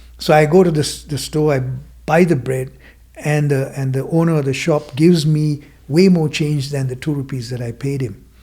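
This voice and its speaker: A dark, mellow, somewhat breathy voice with fairly even intonation, at a moderate pace. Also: man, fairly high pitch for a man. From Sri Lanka (Kandy area). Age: 60s. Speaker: mindfulness teacher and former business owner. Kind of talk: podcast interview storytelling.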